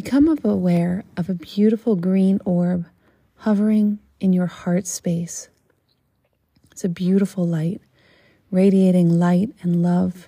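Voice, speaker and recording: A woman's somewhat breathy voice, dark and mellow, soothing and calm in tone, with fairly even intonation, a very slow pace and long, frequent pauses. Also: medium pitch for a woman. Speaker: podcast host and yoga meditation guide. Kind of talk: guided meditation. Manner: slow, soothing, calm and gentle, with long pauses; hushed, dreamy and measured, paced to the breath.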